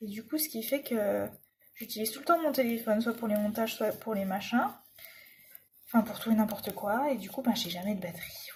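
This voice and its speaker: A fairly high-pitched, somewhat breathy woman at a fairly quick pace, with long, frequent pauses, big swings in loudness and ordinary pitch variation. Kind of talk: casual talk to camera while crafting. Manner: chatty.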